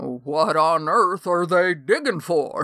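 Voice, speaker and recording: A put-on character voice at a middle pitch moves at a very slow pace on a very clean recording with a silent background. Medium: read story. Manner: polite, courtly.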